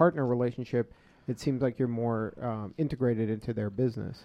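An unremarkable speaking voice, the man's medium pitch moves at a fairly quick pace with fairly even intonation. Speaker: radio host. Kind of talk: radio interview. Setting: studio.

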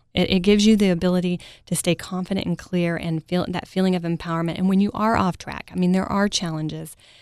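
In an American accent, a woman with a fairly low pitch talks at a very fast pace in a monotone, flat delivery with hardly any pauses, on a very clean recording with a silent background. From Texas, Mesquite near Dallas. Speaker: parenting coach. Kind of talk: interview. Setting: studio. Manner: soft-spoken.

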